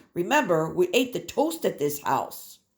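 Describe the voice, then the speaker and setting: A woman puts on a character voice at a moderate pace. Her medium pitch swings very widely. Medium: read story.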